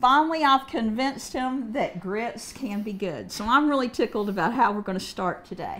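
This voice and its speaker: A woman with a northern Kentucky accent speaks at a high pitch with lively intonation. Her pace is moderate, and there is noticeable background noise. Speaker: cooking show host. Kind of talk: cooking demonstration.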